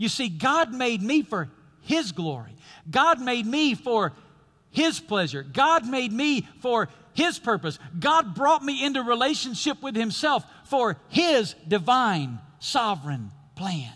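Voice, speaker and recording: Raising and projecting his voice, a man speaks at a very slow pace in a bright, sharp tone, his extremely high pitch moving in very wide swings. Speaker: pastor. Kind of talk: sermon. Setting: church with live congregation. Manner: animated, call-and-response preaching that draws out audience amens; conversational, humorous, and emphatic, with repeated 'listen to me'.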